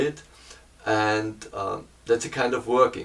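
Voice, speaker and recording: A man with a German accent speaks over noticeable background noise. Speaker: painter and hobby photographer. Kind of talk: camera review talk. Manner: halting, many fillers and repeats.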